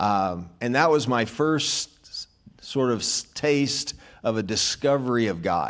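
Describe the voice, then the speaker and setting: A man with lively intonation, on a very clean recording with a silent background. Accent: American. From US South, rural Arkansas. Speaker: minister. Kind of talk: testimony. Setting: church.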